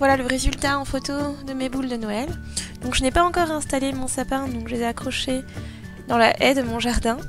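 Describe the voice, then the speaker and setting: A high-pitched woman with fairly even intonation and long, frequent pauses, music in the background. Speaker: craft tutorial youtuber. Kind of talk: casual tutorial voice-over.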